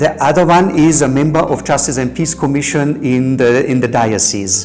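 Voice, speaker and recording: Over music in the background, a man speaks at a fairly high pitch, with audible room echo. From Germany. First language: German. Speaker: peace educator. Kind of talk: interview. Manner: halting, many repetitions.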